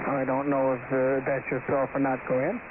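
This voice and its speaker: A man with a fairly high voice talks amid noticeable background noise. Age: 60s. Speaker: amateur radio operator. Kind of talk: ham radio contact chat. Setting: radio transmission.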